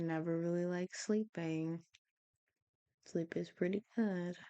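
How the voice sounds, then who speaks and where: Mumbling at a fairly slow pace, a woman speaks with a fairly low pitch and a dark, mellow tone in a dry, close sound with no echo. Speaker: vlogger. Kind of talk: casual monologue. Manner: frequent pauses.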